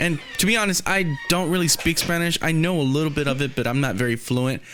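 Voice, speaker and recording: A man with an American accent and lively intonation, against noticeable background noise. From Texas. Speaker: podcast host. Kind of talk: casual chat.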